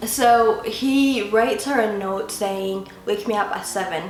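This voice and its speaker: Music plays behind a woman whose fairly high voice has ordinary pitch variation, with audible room echo. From Ethiopia. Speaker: YouTuber. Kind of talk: casual joke telling to camera.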